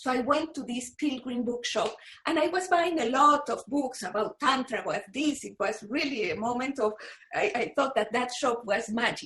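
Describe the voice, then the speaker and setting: A woman with a Spanish accent speaks at a moderate pace in a high voice with lively intonation. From Panama. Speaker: author and researcher of yogini temples. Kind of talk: interview conversation. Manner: halting, with frequent repetitions.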